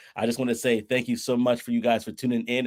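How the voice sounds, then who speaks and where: An animated man with a New York accent speaks on a very clean recording with a silent background. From Brooklyn, New York. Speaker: podcast host. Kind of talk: casual interview. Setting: livestream.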